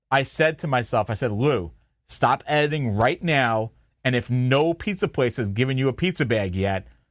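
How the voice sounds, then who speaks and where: With a Long Island accent, a man talks in lively intonation at very even loudness, on a very clean recording with a silent background. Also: medium pitch for a man, moderate pace. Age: 40s. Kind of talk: casual chat. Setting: live stream from home basement.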